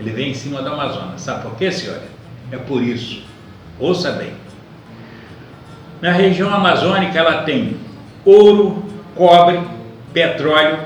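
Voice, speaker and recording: Heard with audible room echo and noticeable background noise, a man speaks at a moderate pace. His pitch is high, with ordinary variation. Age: 80s+. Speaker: elderly citizen vlogger. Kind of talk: monologue to camera.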